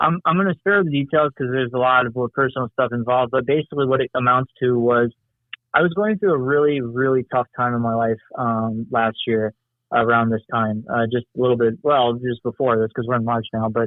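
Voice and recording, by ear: A man with an American accent talks at a fairly quick pace in a medium pitch. His intonation is fairly even, and the sound is dry and close with no echo.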